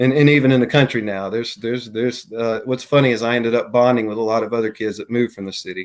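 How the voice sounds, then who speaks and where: Delivered at a very fast pace with hardly any pauses, the speech has fairly even intonation and a Southern US accent. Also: man, medium pitch for a man. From US South, Mississippi (Gulfport, Jackson). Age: 40s. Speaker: bigfoot and paranormal witness. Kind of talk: interview testimony. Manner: halting, many fillers.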